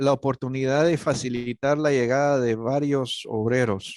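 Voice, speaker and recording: A man's fairly high-pitched voice at a fairly slow pace. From Guatemala. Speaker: missionary. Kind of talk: panel conversation. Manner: hesitant, many fillers.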